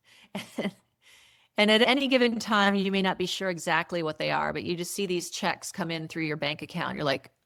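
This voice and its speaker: A woman's fairly low voice, marked by vocal fry, moves at a fairly quick pace on a very clean recording with a silent background. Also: ordinary pitch variation. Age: 60s. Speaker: entrepreneur. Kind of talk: interview.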